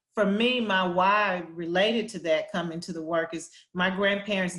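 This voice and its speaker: Monotone, flat delivery from a woman with a Southern US accent, fairly low in pitch and fairly slow in pace. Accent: Southern drawl. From US South, Arkansas Delta. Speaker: education policy executive. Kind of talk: panel discussion. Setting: virtual town hall.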